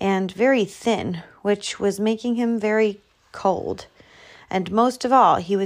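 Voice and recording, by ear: Reading aloud in a natural voice.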